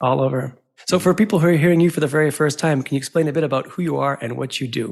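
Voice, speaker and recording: Speaking at a very fast pace, a man talks with a fairly high pitch. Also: ordinary pitch variation. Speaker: podcast host. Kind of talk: interview.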